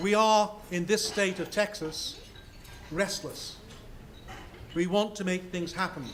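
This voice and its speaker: Over noticeable background noise, a man with a high voice speaks at a very slow pace. His intonation stays fairly even. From Scotland. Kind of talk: speech.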